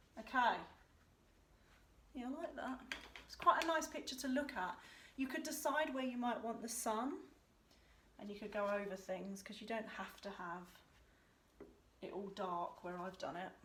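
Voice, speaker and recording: Amid audible room echo and noticeable background noise, a woman with a fairly high pitch and lively intonation speaks with long, frequent pauses. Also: moderate pace. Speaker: art tutor. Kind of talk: tutorial. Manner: casual, mumbling.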